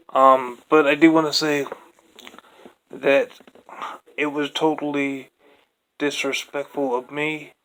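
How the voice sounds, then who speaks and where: Speaking at a very slow pace, a man delivers his words in a monotone, flat intonation broken by long, frequent pauses. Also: fairly high pitch for a man. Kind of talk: casual talk to camera. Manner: stuttering, hesitant; focused, less mumbling.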